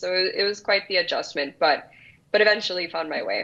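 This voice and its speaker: A woman's medium-pitched voice with a Spanish accent, very fast, with ordinary pitch variation. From El Salvador. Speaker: business founder. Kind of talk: interview.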